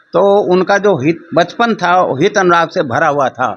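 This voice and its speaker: Noticeable background noise behind a man's high voice, its pitch moving in an ordinary way. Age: 80s+. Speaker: religious society volunteer, master athlete. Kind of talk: interview.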